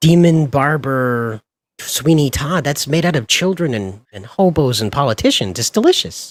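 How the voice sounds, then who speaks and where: An American-accented man speaks in an ordinary speaking voice, pitched fairly high, at a moderate pace. His intonation is lively. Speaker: streamer. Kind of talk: casual chat.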